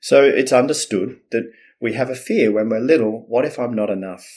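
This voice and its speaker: A man at a medium pitch with an Australian accent. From Australia, Melbourne. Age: 50s. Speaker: communication coach. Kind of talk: casual interview.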